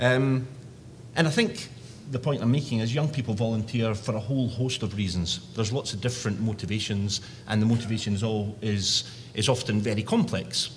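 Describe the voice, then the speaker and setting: A man talks with a strong Scottish accent and a somewhat breathy quality. Audible room echo surrounds him. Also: medium pitch for a man, ordinary pitch variation. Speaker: youth organisation director. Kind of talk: conference presentation. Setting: conference session.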